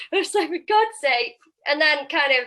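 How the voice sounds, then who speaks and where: A woman speaks in a raised, projected voice at a moderate pace. Her tone is bright and sharp. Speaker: property investor and sourcer. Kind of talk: interview. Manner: loud; animated.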